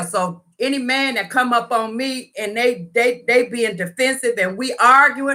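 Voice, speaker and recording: A woman speaks loudly at a moderate pace, her tone animated. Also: hardly any pauses. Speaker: YouTuber sharing personal story. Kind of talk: storytime livestream.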